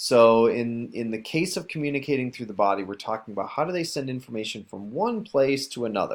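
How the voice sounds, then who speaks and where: A man speaks at a fairly quick pace and medium pitch, with hardly any pauses. It's an unremarkable speaking voice in a very clean recording with a silent background. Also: lively intonation. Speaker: teacher. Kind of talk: recorded lesson for students.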